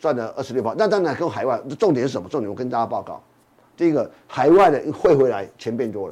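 His delivery comes at a very fast pace with lively intonation. This man has a fairly high pitch and a dark, mellow tone. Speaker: financial magazine editor. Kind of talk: casual chat.

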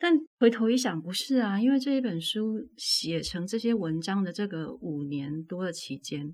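At a moderate pace, a woman with a medium pitch and a somewhat breathy voice makes very wide pitch swings. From Taiwan, Tainan. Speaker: author. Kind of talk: casual interview. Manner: clear, standard enunciation.

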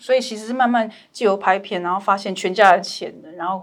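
Speaking at a moderate pace with fairly even intonation, a woman has a plain, everyday voice at a medium pitch. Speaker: documentary filmmaker. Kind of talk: casual interview chat.

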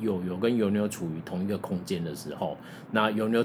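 Amid noticeable background noise and audible room echo, a man with a fairly low pitch talks at a fairly quick pace in a fairly even intonation. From Taiwan (Tainan). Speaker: podcast host. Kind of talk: casual chat.

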